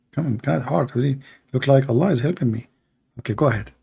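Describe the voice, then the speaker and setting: His voice is somewhat breathy, a man's with a dark, mellow tone. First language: not English. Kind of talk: live debate commentary. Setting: live stream. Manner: animated; sarcastic.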